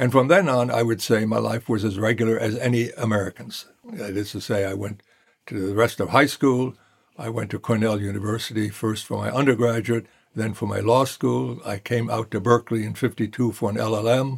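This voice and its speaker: A man with a German accent speaks at a fairly quick pace. His pitch is medium and his intonation fairly even. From Germany (Hesse, near Darmstadt), emigrated to US as child. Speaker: law professor. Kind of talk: interview storytelling.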